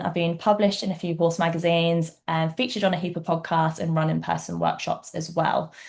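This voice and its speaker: At a very fast pace, a woman speaks with a fairly low, somewhat breathy voice against a quiet background. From England. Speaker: equine vet. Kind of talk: webinar presentation. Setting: online webinar.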